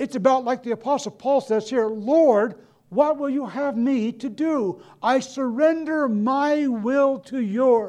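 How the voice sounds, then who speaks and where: A man speaks very slowly with a dark, mellow tone and an extremely high pitch, hardly pausing, with ordinary pitch variation over a quiet background. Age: 60s. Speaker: mission agency director and preacher. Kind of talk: sermon. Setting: college chapel with live audience.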